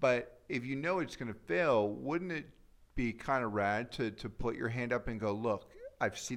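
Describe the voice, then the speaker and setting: Recorded very cleanly against a silent background, a man with an ordinary speaking voice talks at a medium pitch and a moderate pace. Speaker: advertising strategist. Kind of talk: casual conversation.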